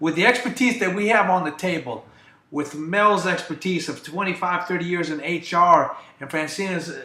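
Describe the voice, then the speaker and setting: Noticeable background noise accompanies a man whose high-pitched voice shows ordinary pitch variation. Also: moderate pace, big swings in loudness. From US Midwest, Ohio. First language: Greek. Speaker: staffing business owner. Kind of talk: talk show interview.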